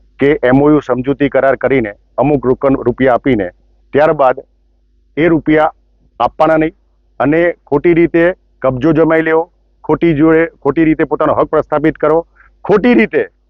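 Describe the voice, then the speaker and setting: This man's voice sits fairly high in pitch, with ordinary pitch variation. His loudness stays very even throughout. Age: 50s. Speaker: businessman. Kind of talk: news interview statement. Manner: formal; halting.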